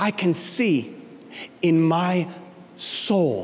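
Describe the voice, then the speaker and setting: A man speaks in an animated, passionate tone with ordinary pitch variation. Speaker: lead pastor. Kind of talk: sermon. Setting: church. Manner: passionate, urgent, pleading. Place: stage. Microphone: handheld.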